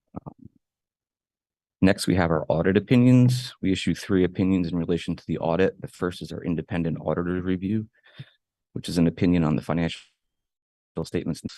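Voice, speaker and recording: A soft-spoken man with a very deep, low pitch talks at a fairly quick pace with ordinary pitch variation and long, frequent pauses, in a dry, close sound with no echo and a quiet background. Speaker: school district auditor. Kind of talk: formal presentation. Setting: board meeting.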